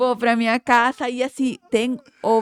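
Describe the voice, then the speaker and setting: A fairly slow voice with a Colombian accent, in a very clean recording with a silent background and a dry, close sound with no echo. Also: woman. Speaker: oral surgeon and facial aesthetics professor. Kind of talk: podcast interview.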